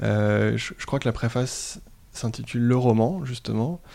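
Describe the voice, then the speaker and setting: The recording is very clean, with a silent background. A man speaks at medium pitch with ordinary pitch variation and a dark, mellow tone. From France and Sweden (bicultural). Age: 30s. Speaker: headhunter, podcast guest. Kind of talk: casual interview about reading. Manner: hesitant, many repetitions and fillers.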